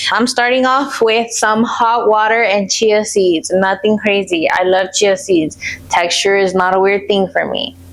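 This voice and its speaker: Over noticeable background noise, a woman with a Spanish accent talks at a fairly slow pace with hardly any pauses, her medium-pitched voice very even in loudness and fairly even in intonation. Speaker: lifestyle vlogger. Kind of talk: casual vlog talk. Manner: relaxed, chatty.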